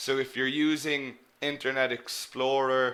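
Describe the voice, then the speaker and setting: With an Irish accent, a man speaks at medium pitch in a bright, sharp tone, and audible room echo hangs around his voice. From Ireland. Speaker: English teacher. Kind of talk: live online lecture. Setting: live webinar.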